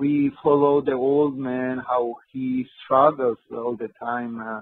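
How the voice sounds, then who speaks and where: At a very slow pace, a man with a Georgian accent speaks at medium pitch with fairly even intonation. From Georgia (country). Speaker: film director and screenwriter. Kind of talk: interview. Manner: halting, hesitant non-native speech.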